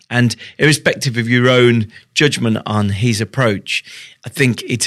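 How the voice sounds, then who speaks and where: Monotone, flat speech from a man with a British accent, medium pitch and a moderate pace. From Britain. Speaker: tech executive and author. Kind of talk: interview. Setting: university, in person.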